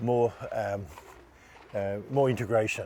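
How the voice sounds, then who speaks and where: Noticeable background noise is present. Over it, a man talks with fairly even intonation. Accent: Australian. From Australia, Melbourne. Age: 70s. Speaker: Olympic sailor. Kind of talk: interview.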